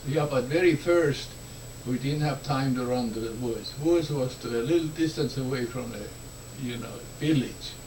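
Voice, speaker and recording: A man with an Estonian accent, fairly even intonation, and noticeable background noise. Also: medium pitch for a man, moderate pace. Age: 70s. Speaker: war survivor. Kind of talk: interview answer.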